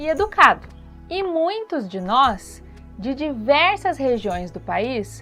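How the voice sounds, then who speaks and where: With music in the background, a woman with a high voice speaks at a very slow pace, her pitch swinging very widely. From Brazil, Vale do Paraíba (São Paulo state). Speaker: dance and art teacher, podcaster. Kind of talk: podcast commentary.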